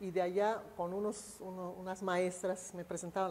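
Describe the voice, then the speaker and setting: A woman's dark, mellow voice, fairly low in pitch, at a moderate pace. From Mexico, Yucatán. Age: 80s+. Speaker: retired teacher, ex-girlfriend of a historical figure. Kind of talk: interview. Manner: halting.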